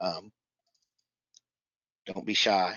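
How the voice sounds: A man with a low pitch, a bright, sharp tone, fairly even intonation and a very slow pace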